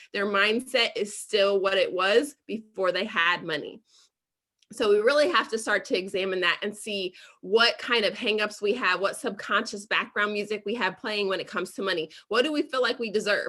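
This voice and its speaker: A woman speaks with an American accent at a medium pitch, with ordinary pitch variation. Her tone is bright and sharp. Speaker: financial educator. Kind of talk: presentation. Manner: fast.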